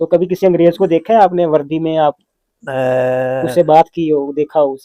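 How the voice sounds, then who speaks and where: A man's fairly high, dark and mellow voice moves with ordinary pitch variation in a dry, close sound with no echo. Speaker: interviewer. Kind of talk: interview questions.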